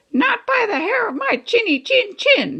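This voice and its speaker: A woman uses a put-on, squeaky character voice at an extremely high pitch with very wide pitch swings. She keeps a moderate pace. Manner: squealing, defiant.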